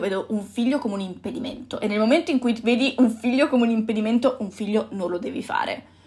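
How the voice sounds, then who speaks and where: This woman talks at a fairly quick pace in a fairly high, somewhat breathy voice with ordinary pitch variation. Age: 20s. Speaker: podcast host. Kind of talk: solo reflective monologue. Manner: halting.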